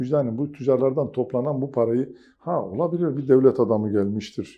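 In a normal speaking voice, a man talks with lively intonation. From southeastern Turkey, Mardin. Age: 50s. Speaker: businessman and chamber of commerce council member. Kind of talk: TV interview.

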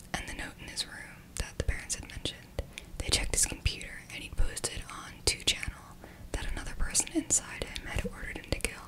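A soft-spoken woman whispers at a fairly quick pace over loud background noise. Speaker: video host. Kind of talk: true crime storytelling narration. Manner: soft close-mic whisper. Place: home room. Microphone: studio mic.

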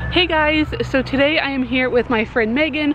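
A woman speaks with noticeable background noise and a dry sound with no echo. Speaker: pet vlogger. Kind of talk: casual vlog chat. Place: street. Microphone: phone near.

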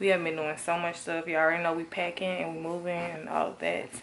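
There is light background noise as a woman talks. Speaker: vlogger. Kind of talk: casual vlog chat. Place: home room. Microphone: phone near.

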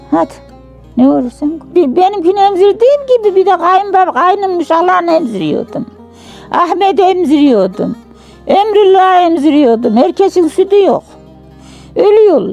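In a Central Anatolian accent, a woman with an extremely high voice speaks fairly slowly over background music, her pitch swinging very widely while her loudness stays very even. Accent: rural central Anatolian Turkish dialect. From Turkey, Yozgat, central Anatolia. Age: 80s+. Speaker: village elder. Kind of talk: life story interview.

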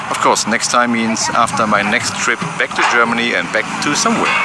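A man speaks at a moderate pace. The sound is dry with no echo, over loud background noise. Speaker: presenter. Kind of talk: casual vlog chat. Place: open country. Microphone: phone near.

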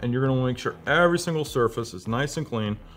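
A man speaks over light background noise. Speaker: presenter. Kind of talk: tutorial. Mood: light, joking. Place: studio.

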